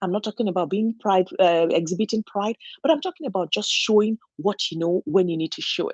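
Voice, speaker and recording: A woman at medium pitch with a non-native accent, moderate pace, dry, close sound with no echo, and a quiet background. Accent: noticeable foreign. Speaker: registered nurse and channel host. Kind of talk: motivational talk. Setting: solo home recording. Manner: halting, with frequent fillers and restarts.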